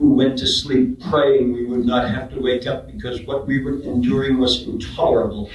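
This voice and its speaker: With fairly even intonation and a fairly quick pace, a man talks as noticeable background noise sounds around him. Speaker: slam poet. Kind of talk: spoken word poetry performance. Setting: live event.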